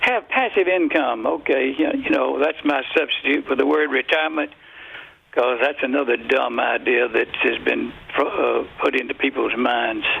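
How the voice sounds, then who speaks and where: With an American accent, a man speaks at a very even loudness over noticeable background noise. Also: moderate pace. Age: 80s+. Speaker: author and economist. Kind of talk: radio interview. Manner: halting, many filler words.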